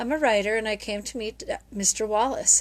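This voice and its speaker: Soft-spoken and shaky, a woman uses a put-on character voice with a fairly high pitch. She talks at a fairly quick pace in a timid tone. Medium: read story. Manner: shy, timid.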